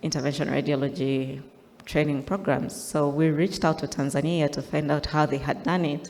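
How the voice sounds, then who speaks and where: A woman's very deep, low voice holds a monotone, flat intonation. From Uganda. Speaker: interventional radiologist. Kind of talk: conference talk. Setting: stage with slides.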